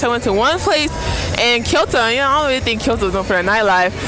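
Clear music plays in the background while a woman talks, her sound dry with no echo. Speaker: travel vlogger. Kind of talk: casual vlog chat. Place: street. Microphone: earbuds.

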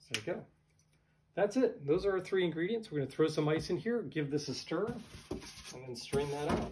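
Noticeable background noise sits under speech delivered at a moderate pace. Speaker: home bartender host. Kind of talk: tutorial. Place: home room. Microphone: camera far.

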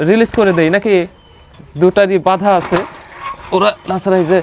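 There is noticeable background noise in this clip. Over it, a man talks at a high pitch. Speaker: pigeon farm video presenter. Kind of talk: vlog tutorial.

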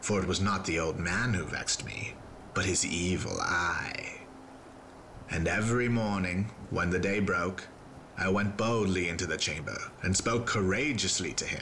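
Over clear background noise, a man with a very deep, low pitch talks at a moderate pace with very even loudness. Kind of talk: gothic horror dramatic reading. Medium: read story. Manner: intense, feverish, building to agitation.

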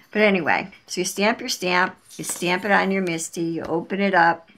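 A woman is talking. Noticeable background noise runs behind her. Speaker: crafter demonstrating a tool. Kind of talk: tutorial. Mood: warm enthusiastic. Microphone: camera far.

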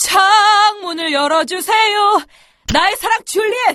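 Doing a put-on character voice, a woman speaks at an extremely high pitch and a fairly slow pace, with ordinary pitch variation. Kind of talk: children's story acting. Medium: read story.

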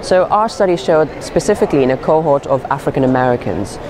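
A man talks at a very fast pace. Noticeable background noise sits behind him. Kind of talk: interview answer. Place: hall.

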